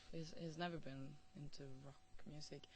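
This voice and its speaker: With a Norwegian accent, a woman speaks at a fairly slow pace, and room echo can be heard. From northern Norway. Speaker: musician. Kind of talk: interview. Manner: hesitant, many fillers and repetitions.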